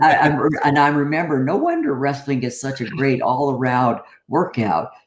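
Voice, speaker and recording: Here is a man with an unremarkable speaking voice, pitched fairly high. He keeps a moderate pace and fairly even intonation. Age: 60s. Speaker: army veteran and depression advocate. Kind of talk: casual chat.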